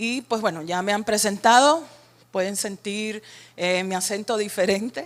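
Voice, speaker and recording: Speaking in a Cuban accent, a woman uses a medium pitch with ordinary pitch variation at a fairly slow pace. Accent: Cuban Caribbean Spanish. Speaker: workshop facilitator. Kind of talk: training workshop.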